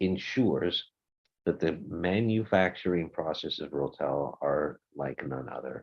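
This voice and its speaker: With vocal fry and a very deep, low pitch, a man talks at a fairly slow pace. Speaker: audio brand representative. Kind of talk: webinar presentation.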